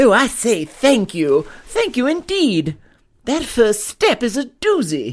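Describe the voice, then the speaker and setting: In a put-on character voice, a man speaks fairly slowly at an extremely high pitch with very wide pitch swings, on a very clean recording with a silent background. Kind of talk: comic radio drama. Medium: audio drama. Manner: genteel, formal, effusive.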